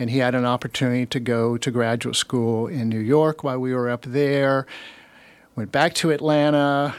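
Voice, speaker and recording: In a plain, everyday voice, a man with an American accent speaks at a moderate pace and medium pitch. His intonation is fairly even, and the recording is very clean with a silent background. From Alabama, US South. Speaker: retired human resources professional. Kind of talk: casual interview chat. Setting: radio studio.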